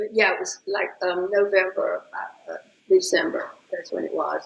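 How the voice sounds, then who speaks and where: With a Southern US accent, a woman speaks at a fairly slow pace while her pitch swings very widely. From Atlanta, Georgia, US South. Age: 80s+. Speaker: interview guest. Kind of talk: casual chat. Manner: animated.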